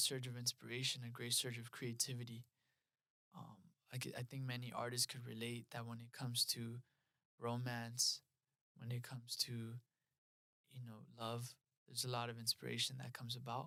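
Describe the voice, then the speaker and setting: Medium-pitched and bright, sharp in tone, a man with a Spanish accent speaks at a moderate pace in a flat monotone, with long, frequent pauses. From Los Angeles area, US. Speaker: creative director and spiritual community leader. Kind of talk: podcast interview, personal story.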